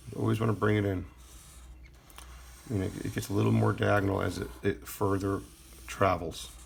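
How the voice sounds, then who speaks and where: A man with a very deep, low voice talks at a fairly quick pace, his pitch swinging very widely. Long, frequent pauses break it up, and background noise is noticeable. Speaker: art teacher. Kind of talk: tutorial. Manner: casual, hesitant with fillers; fast.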